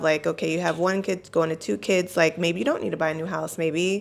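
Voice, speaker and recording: On a very clean recording with a silent background, a woman with a fairly low pitch speaks with fairly even intonation. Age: 40s. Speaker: real estate advisor and mother. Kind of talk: casual panel discussion. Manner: hesitant, many fillers.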